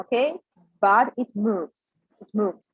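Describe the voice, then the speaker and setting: A woman speaks in a fairly high voice, recorded dry and close with no echo. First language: Russian. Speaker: English pronunciation teacher. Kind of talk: tutorial. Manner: halting, many fillers; slow, repetitive.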